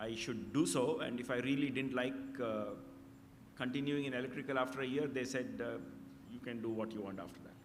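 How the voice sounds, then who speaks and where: In a room with audible room echo, a man speaks at a fairly quick pace in a medium pitch, with fairly even intonation and long, frequent pauses. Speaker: radio astronomer. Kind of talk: interview. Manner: halting.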